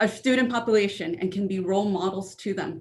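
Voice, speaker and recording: Her pace is fairly quick and her voice is somewhat breathy. The woman keeps a medium pitch with fairly even intonation. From California. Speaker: school administrator. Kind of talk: prepared statement at board meeting. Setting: virtual school board meeting.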